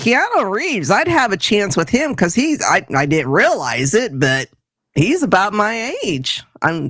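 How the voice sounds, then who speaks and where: At a fairly slow pace, a woman speaks in a medium pitch with very wide pitch swings and vocal fry. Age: 60s. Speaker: podcast co-host. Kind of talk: casual chat.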